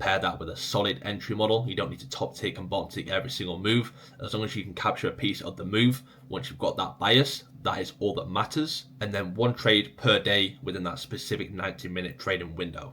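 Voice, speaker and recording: Speaking at a fairly quick pace with hardly any pauses, a man with an English accent has a fairly low, bright and sharp voice. His pitch varies in an ordinary way while his loudness swings a lot. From England. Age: 20s. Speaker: trading educator. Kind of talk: casual Q&A video. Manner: casual, conversational.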